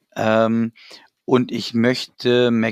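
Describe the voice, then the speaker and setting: The speaker is a man with a medium pitch. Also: dry, close sound with no echo. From Germany, Hanover. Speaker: football fan club president. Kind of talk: casual chat.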